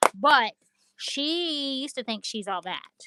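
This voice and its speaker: A woman's raised, projected voice, high in pitch, bright and sharp in tone, at a very slow pace, with a dry, close sound and no echo. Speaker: craft livestream seller. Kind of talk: live stream chat.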